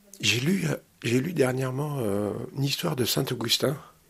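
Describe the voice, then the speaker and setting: This man talks at a moderate pace with a medium pitch and lively intonation. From Normandy, Caen. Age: 50s. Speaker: resident of social housing. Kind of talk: interview testimony.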